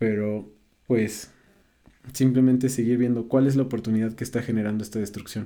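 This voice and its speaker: A man's medium-pitched voice carries a dark, mellow tone and monotone, flat intonation, broken by long, frequent pauses. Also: fairly quick pace. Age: 20s. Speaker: psychotherapy practitioner. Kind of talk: casual chat.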